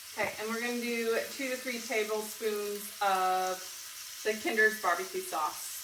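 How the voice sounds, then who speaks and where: The speech has a moderate pace and ordinary pitch variation, with audible room echo and noticeable background noise. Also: woman, fairly high pitch for a woman. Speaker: home cooking youtuber. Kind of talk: cooking tutorial. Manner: casual, chatty; loud.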